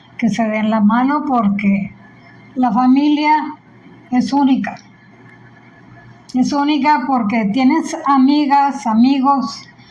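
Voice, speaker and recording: Very slowly, a woman talks with a high pitch. There is audible room echo and noticeable background noise. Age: 80s+. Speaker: grandmother. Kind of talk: family interview.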